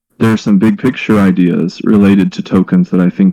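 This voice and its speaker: Talking at a fairly quick pace, a man with an American accent has a fairly low, dark and mellow tone with ordinary pitch variation. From North Carolina, US South. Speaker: bootcamp organizer. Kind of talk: online workshop discussion.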